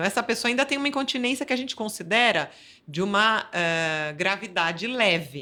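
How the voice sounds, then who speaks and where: Bright and sharp in tone, a woman at medium pitch speaks at a fairly quick pace with very wide pitch swings on a very clean recording with a silent background. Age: 50s. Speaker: physiotherapist. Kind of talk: interview. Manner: halting, with repetitions.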